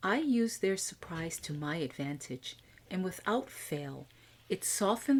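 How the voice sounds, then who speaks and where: A woman with an American accent talks in an ordinary speaking voice, fairly low in pitch, with lively intonation at a moderate pace. The recording is very clean, with a silent background. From USA. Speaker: podcast host, IT executive coach. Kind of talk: scripted podcast monologue.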